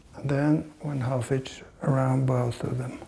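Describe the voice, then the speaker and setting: A man with a non-native accent speaks fairly slowly at medium pitch, his dark, mellow tone somewhat breathy. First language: not English. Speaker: fly fishing instructor. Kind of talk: tutorial. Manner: halting, with fillers.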